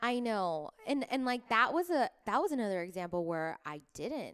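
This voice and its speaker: An animated tone at a moderate pace on a very clean recording with a silent background. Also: woman. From Florida (Miami), Cuban family. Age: 30s. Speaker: actress. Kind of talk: casual chat. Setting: home studio, in person.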